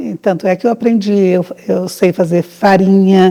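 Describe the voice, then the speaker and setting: A woman talks fairly slowly in a dark, mellow tone. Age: 70s. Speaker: farmer. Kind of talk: documentary interview.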